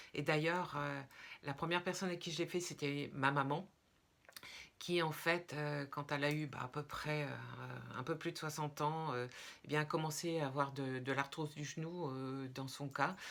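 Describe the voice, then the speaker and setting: A woman speaks in a very deep, low voice with fairly even intonation. She leaves long, frequent pauses. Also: moderate pace. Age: 60s. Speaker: product seller / wellness vlogger. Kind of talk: testimonial sales pitch. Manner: hesitant, many filler sounds.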